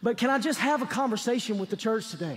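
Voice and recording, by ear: Using lively intonation, a man speaks at an extremely high pitch.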